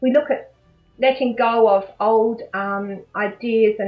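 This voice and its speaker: Over music in the background, a woman with an Australian accent speaks at a fairly high pitch with ordinary pitch variation. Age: 60s. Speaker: life coach. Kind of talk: interview answer.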